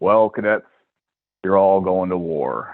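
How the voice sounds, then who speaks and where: A man puts on a gravelly character voice, pitched fairly low. He speaks at a fairly slow pace with flat, monotone intonation. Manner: stern.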